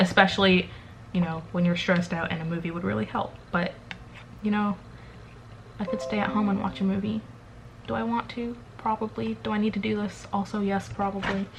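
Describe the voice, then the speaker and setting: This woman talks at a fairly quick pace, her medium-pitched voice lively in intonation. She leaves long, frequent pauses, and noticeable background noise is present. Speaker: vlogger. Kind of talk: casual vlog. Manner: fast.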